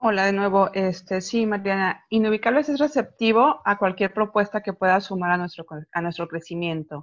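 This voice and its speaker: Against a quiet background, a woman with an ordinary speaking voice talks at a moderate pace and medium pitch, with ordinary pitch variation and hardly any pauses. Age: 40s. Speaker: poet, collective founder. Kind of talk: casual interview. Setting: video call.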